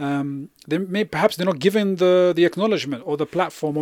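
On a very clean recording with a silent background, a man with a London accent speaks with a fairly high pitch and ordinary pitch variation. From West London. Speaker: community organiser and researcher. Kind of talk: interview.

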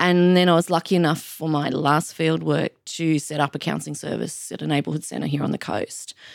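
At a fairly quick pace, someone speaks with an Australian accent in a dry, close sound with no echo. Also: woman. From New South Wales, Australia (Sydney). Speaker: counsellor. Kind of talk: casual interview chat.

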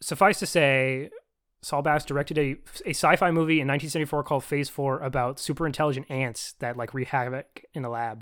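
A man talks at a very fast pace with a fairly high pitch. His intonation stays fairly even, on a very clean recording with a silent background. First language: French (bilingual). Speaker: podcast co-host. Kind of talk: casual chat.

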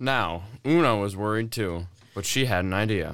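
This man talks at a moderate pace with a fairly low pitch, a fairly bright tone, and ordinary pitch variation.

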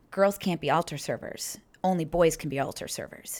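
With an American accent, a woman talks at a fairly quick pace and a fairly low pitch. Her pitch variation is ordinary, and the recording is very clean with a silent background. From Detroit area, Michigan. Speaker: church member. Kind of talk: casual interview chat.

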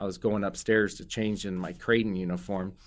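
With a plain, everyday voice, a man keeps his fairly low pitch fairly even in intonation. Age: 50s. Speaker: restaurant owner. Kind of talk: casual chat. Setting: studio.

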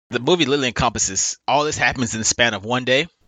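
A man has a normal speaking voice at a medium pitch. He talks at a fairly quick pace with ordinary pitch variation. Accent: American. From Los Angeles, South Central. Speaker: movie podcast guest. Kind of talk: casual chat.

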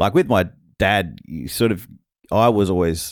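A man speaks in a fairly low pitch with an Australian accent. The recording is very clean, with a silent background. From Western Australia (Perth). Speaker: pastor and author, former addict. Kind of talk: interview testimony. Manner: halting, with many fillers.

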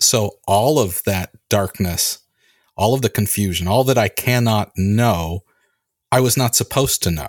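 Dry and close with no echo, in a very clean recording with a silent background, a man with an ordinary speaking voice talks at a fairly slow pace, fairly low in pitch with ordinary pitch variation and very even loudness. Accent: American. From California. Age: 40s. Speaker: podcast host. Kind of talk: casual chat.

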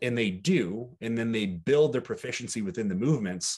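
Against a quiet background, a man with a plain, everyday voice talks at a moderate pace in a medium pitch with lively intonation. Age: 20s. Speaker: bodybuilding coach. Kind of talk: casual chat.

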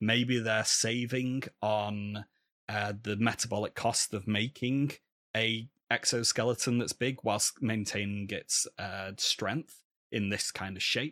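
Speaking very slowly in a Manchester accent, a man with a medium-pitched voice and a bright, sharp tone keeps his intonation fairly even, recorded dry and close with no echo on a very clean track with a silent background. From Manchester, England. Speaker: paleontologist and podcaster. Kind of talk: interview conversation.

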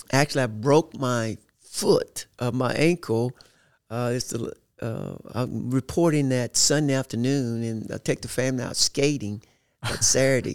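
A man with a Southern US accent speaks at a moderate pace, his intonation fairly even. The recording is very clean, with a silent background. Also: medium pitch for a man, dry, close sound with no echo. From Arkansas, small town near Little Rock. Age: 50s. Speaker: football coach. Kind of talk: interview.

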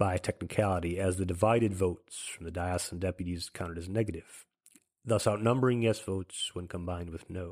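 A man with an American accent speaks in a very deep, low pitch on a very clean recording with a silent background. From Michigan. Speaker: pastor and podcast host. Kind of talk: lecture-style podcast monologue. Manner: halting, many filler words.

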